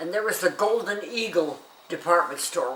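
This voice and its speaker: A woman speaks with an American accent and lively intonation. Audible room echo and noticeable background noise surround her voice. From US West, Denver. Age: 90s. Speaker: elderly interviewee sharing memories. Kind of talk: casual oral history interview. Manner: halting with many fillers.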